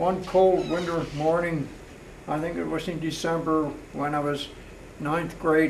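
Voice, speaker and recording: Long, frequent pauses break up monotone, flat speech in an American accent. Audible room echo and noticeable background noise are present. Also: man, fairly high pitch for a man. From US, Pennsylvania (Palmyra area). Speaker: retired mailman. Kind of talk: oral history interview. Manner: halting.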